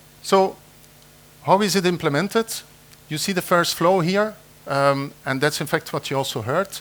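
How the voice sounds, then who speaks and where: Speaking with a non-native accent, a man talks at a moderate pace in a high register, with ordinary pitch variation and long, frequent pauses. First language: not English. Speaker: conference presenter, AI engineer. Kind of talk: conference talk. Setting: conference room with audience. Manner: hesitant, many fillers.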